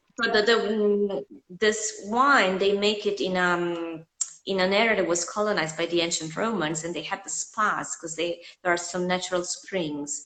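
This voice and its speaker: In a plain, everyday voice, a woman talks at a moderate pace and a medium pitch with ordinary pitch variation. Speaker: host of an Italian food and culture channel. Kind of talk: casual interview chat.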